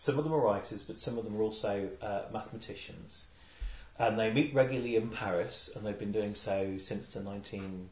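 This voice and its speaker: Loudness swings widely over noticeable background noise. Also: man. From Lincolnshire, England. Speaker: poet. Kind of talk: poetry reading, performed aloud, with Q&A chat. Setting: live poetry salon with audience. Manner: measured, deliberate reading with a dry wit; reflective, hesitant in chat.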